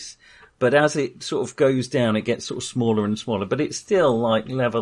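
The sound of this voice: With ordinary pitch variation, the clip carries an unforced reading voice.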